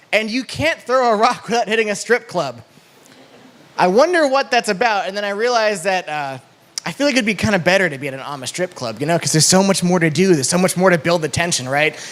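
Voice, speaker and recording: Over noticeable background noise, a man speaks at a very fast pace in a high voice. His pitch swings very widely. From New England. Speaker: stand-up comedian. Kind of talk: stand-up.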